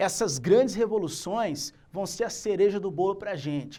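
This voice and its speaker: A man speaks in a high-pitched voice. His intonation is lively and his pace fairly slow. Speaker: teacher. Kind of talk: lecture.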